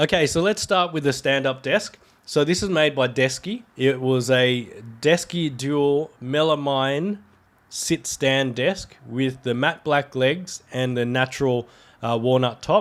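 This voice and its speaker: Recorded very cleanly against a silent background, a man speaks at a fairly high pitch with ordinary pitch variation. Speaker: tech YouTuber. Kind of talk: tutorial; casual chat. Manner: casual.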